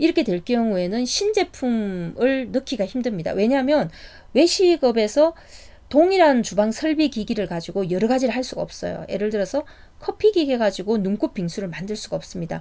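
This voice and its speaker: Speaking at a fairly quick pace, a woman with a dark, mellow tone makes very wide pitch swings. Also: fairly high pitch for a woman. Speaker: startup business consultant. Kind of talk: lecture. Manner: casual with fillers and self-corrections.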